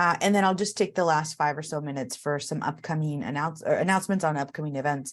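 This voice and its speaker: A woman talks at a very fast pace with hardly any pauses. Her voice is very deep and low, with ordinary pitch variation. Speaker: college education faculty and session facilitator. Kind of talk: online information session. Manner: many filler words (uh, um).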